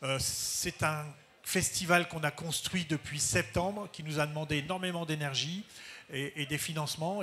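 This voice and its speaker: Here is a man speaking. His pitch sits fairly high. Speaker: school head. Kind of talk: panel talk. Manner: halting.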